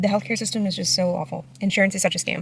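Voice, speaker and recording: Noticeable noise fills the background. Over it, a woman talks with an American accent. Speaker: vlogger. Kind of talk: vlog. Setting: doctor's office. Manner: casual, filler-heavy; fast.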